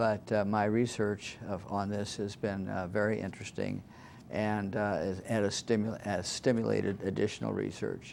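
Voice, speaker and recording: A man with an American accent at a fairly low pitch, in monotone, flat intonation at a moderate pace. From Iowa, US Midwest. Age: 80s+. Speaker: retired judge. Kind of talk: interview. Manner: halting.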